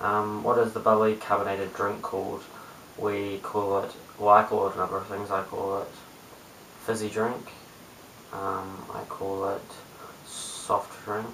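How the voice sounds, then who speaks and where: A man mumbling at a moderate pace in a New Zealand accent, fairly low in pitch, monotone and flat, with light background noise and audible room echo. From New Zealand, Christchurch. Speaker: cube youtuber; vlogger. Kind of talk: casual vlog; reading word list aloud. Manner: hesitant, many ums. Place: home room. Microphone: webcam.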